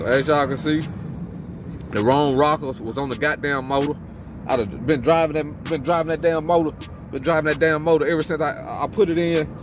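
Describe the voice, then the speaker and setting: Over noticeable background noise, a man talks at a fairly quick pace and fairly high pitch. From Mississippi. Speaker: car enthusiast vlogger. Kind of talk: casual vlog talk. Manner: animated; repetitive, informal.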